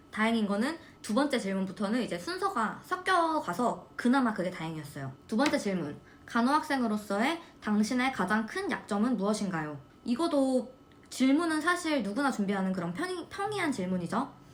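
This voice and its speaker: Over noticeable background noise, a woman with a fairly high voice talks at a moderate pace in an animated tone with very wide pitch swings. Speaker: nursing student vlogger. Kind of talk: casual chat.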